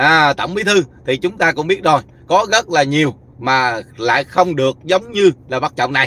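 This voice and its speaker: A man's bright, sharp voice comes through dry with no echo as he speaks at a moderate pace. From Vietnam. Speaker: YouTube commentator. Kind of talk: livestream commentary. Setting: live stream while travelling. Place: car. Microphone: phone near.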